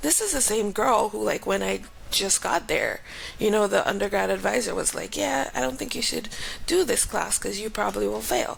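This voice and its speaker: A woman with a Grenadian accent speaks at a moderate pace amid noticeable background noise. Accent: Grenadian Caribbean. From Grenada. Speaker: aerospace engineer and professor. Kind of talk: interview. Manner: casual.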